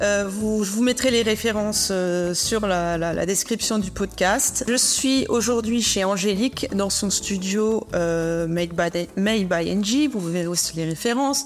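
Very slowly and with hardly any pauses, a woman speaks at a medium pitch with ordinary pitch variation and very even loudness. Noticeable background noise is present. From Alsace, France. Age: 40s. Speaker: podcast host. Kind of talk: interview. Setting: studio.

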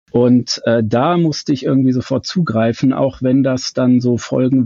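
A man with an unremarkable speaking voice talks at a fairly slow pace, with medium pitch and ordinary pitch variation. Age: 50s. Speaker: fan website founder. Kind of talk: casual chat.

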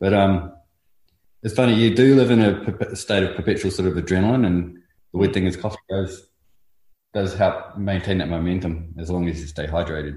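With a New Zealand accent, a man speaks at a very deep, low pitch in a somewhat breathy voice. His pace is moderate and his pitch variation ordinary. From New Zealand, North Island. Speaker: artist, muralist. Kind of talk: casual interview.

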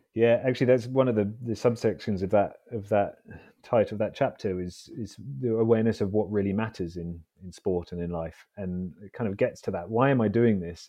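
A man with a London accent speaks at a fairly quick pace. His voice is fairly low, with ordinary pitch variation. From London, England. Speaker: Olympic fencer and author. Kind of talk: casual interview. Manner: halting, repeats words.

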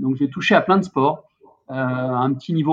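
Using a normal speaking voice, a man talks at a fairly slow pace with fairly even intonation and a fairly high pitch. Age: 50s. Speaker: sports industry trade association head. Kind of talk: casual interview.

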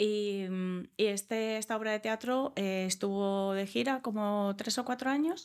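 A woman's voice at a very slow pace, very even in loudness, with ordinary pitch variation and hardly any pauses, on a very clean recording with a silent background. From Australia. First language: English (speaking Spanish). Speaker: comedian. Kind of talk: interview.

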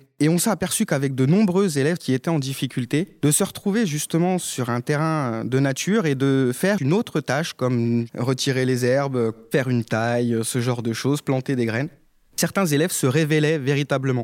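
Man's voice, fairly high in pitch, at a moderate pace with ordinary pitch variation, very even loudness and a dry, close sound with no echo. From rural France, Haute-Marne. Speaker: primary school teacher. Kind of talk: interview testimony. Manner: hesitant, repeats words.

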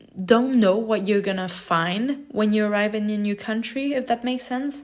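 A woman with a non-native accent speaks at a moderate pace. Her pitch is fairly high, with ordinary variation. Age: 20s. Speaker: podcaster. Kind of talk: solo podcast monologue.

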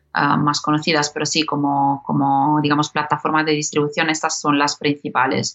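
At a moderate pace and with hardly any pauses, a woman speaks in a very deep, low pitch, her delivery monotone and flat, her loudness very even. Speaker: podcast platform executive. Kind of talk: interview. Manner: halting, many fillers.

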